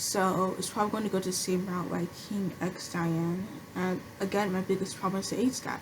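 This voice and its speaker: A woman talks at a medium pitch. Her intonation is monotone and flat. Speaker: anime commentary creator. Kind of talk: casual talk to camera. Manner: stuttering, hesitant.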